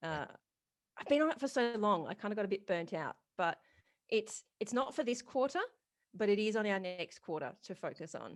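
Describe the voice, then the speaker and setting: A woman talks at a fairly quick pace. Her medium-pitched voice has lively intonation. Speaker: retail business coach and podcast host. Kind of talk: podcast interview.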